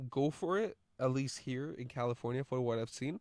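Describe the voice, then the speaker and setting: Over a quiet background, a man with a medium pitch talks in a plain, everyday voice, the sound dry and close with no echo. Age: 20s. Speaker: podcaster and line cook. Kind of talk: casual monologue. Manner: casual with many fillers and repetitions.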